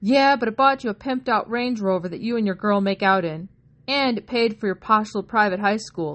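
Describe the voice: Ordinary pitch variation across plain reading aloud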